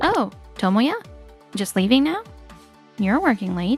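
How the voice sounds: A woman's put-on character voice, fairly high in pitch with big pitch swings, slightly mellow in tone with a slightly husky edge, at a fairly slow pace over faint background music.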